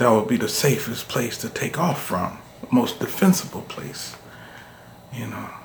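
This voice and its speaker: A man speaks at a medium pitch with lively intonation and big swings in loudness. His long pauses come often, over noticeable background noise. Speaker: podcaster reading his own story. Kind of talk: casual intro, then dramatic sci-fi narration in first person. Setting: solo home recording for a video channel. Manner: casual, friendly, conversational in intro; grave, urgent, military-report tone in story.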